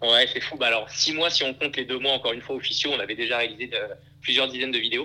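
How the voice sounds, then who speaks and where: With a medium pitch and monotone, flat intonation, a man rattles off words at a very fast pace against noticeable background noise. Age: 20s. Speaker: startup founder and CEO. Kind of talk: casual interview. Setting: remote recording. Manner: halting, many repetitions and fillers.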